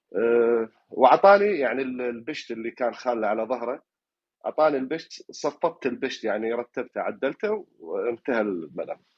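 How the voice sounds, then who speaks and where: A man's lively intonation carries his speech along at a moderate pace. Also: medium pitch for a man. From Iraq, Fallujah. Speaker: caller. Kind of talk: dream recounting on call-in show. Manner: halting, many fillers.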